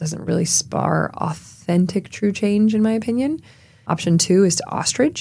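A woman speaks at a moderate pace with an American accent, her medium-pitched voice dark, mellow and somewhat breathy. Her intonation is lively. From US South, rural South Carolina. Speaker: entrepreneur and philanthropist. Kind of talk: interview. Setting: podcast studio.

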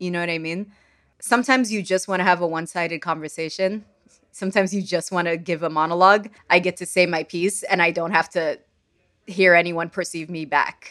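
With a bright, sharp tone and fairly low pitch, a woman speaks at a fairly quick pace and fairly even intonation on a very clean recording with a silent background. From Sudan. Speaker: poet. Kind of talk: interview conversation.

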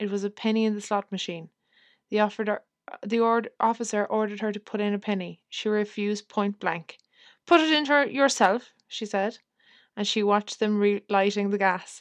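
A woman's fairly high voice with a dramatic tone and an Irish accent, fairly quick and fairly even in intonation, against a quiet background with a dry, close sound and no echo. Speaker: podcast host. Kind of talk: period letter reading; casual chat. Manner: measured, expressive reading, slight dramatic tone for the letter writer; casual, chatty, self-deprecating.

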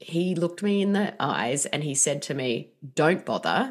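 In an Australian accent, the speaker talks at a moderate pace with ordinary pitch variation. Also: woman. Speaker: author. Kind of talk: interview.

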